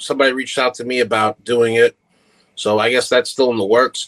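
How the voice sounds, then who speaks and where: Recorded dry and close with no echo, a man speaks with an American accent. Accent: New York Italian American. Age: 30s. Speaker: social media content creator. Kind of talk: casual chat.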